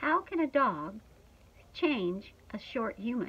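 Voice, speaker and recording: Gruff, put-on character voice at a fairly slow pace with very wide pitch swings. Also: woman. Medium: read story. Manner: gruff, snorting.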